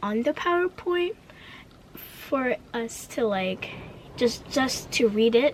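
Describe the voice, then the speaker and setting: Over noticeable background noise, the woman's voice sits fairly high. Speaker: vlogger. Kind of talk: casual rant vlog. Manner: stutters; energetic.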